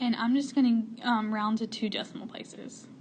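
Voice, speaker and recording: A woman with an unremarkable speaking voice talks at a fairly high pitch. Her pace is moderate and her intonation fairly even. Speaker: math teacher. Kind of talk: tutorial. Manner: casual.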